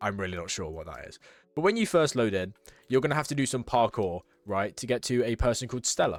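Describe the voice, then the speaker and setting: On a very clean recording with a silent background, a man talks at a very fast pace in a medium pitch. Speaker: gaming YouTuber. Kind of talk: gameplay tutorial commentary. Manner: casual, filler-heavy.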